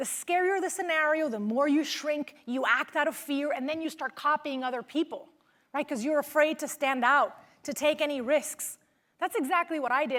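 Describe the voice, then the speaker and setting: With a slight Venezuelan accent, a woman talks at a fairly quick pace in an animated tone, her high pitch showing ordinary variation. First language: Spanish. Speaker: motivational speaker, former news reporter. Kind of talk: keynote speech.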